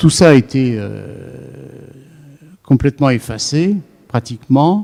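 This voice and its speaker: With a dry, close sound and no echo, a man at medium pitch has a dark, mellow tone and ordinary pitch variation. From France. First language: Yiddish (speaking French). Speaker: psychoanalyst lecturer. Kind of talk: lecture. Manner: hesitant, many fillers.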